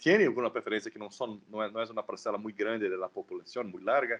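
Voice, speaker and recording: A man talks at a fairly quick pace. He has a non-native accent. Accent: non-native Spanish, rusty. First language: Portuguese (speaking Spanish). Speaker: political scientist. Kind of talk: academic talk. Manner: halting, repetitions.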